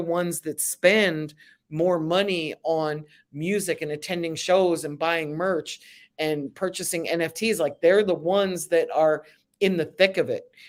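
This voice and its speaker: A woman with an American accent and a normal speaking voice talks at a moderate pace and fairly low pitch, with fairly even intonation. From Philadelphia, US. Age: 60s. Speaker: music business consultant. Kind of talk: interview.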